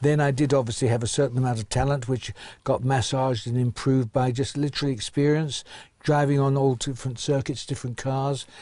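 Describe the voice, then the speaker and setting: A man speaks very fast at a medium pitch for a man, his dark, mellow tone somewhat breathy and his intonation flat and monotone against a quiet background. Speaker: retired racing driver. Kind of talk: interview answer.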